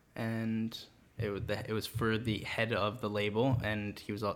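A man's fairly low voice, a normal speaking voice with fairly even intonation, on a very clean recording with a silent background. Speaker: music manager. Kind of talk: casual interview chat.

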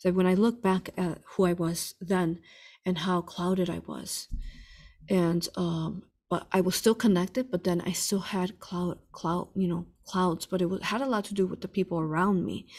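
On a very clean recording with a silent background, a woman speaks in an unremarkable speaking voice at a moderate pace, with medium pitch and fairly even intonation. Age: 40s. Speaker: spiritual healer and hypnosis teacher. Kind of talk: interview answering viewer questions.

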